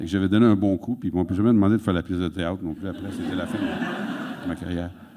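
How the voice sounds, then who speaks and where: Noticeable background noise fills the recording. Over it, a man races along at a very fast pace. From Quebec, Sorel. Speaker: author and interviewer. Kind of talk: public onstage conversation. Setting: auditorium stage with audience.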